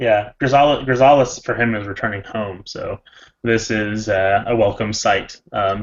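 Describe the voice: Ordinary pitch variation over plain reading aloud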